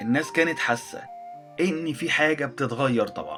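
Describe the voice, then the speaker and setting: Fairly slow speech over music in the background. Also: man. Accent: Egyptian. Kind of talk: educational history narration. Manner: simple, heartfelt.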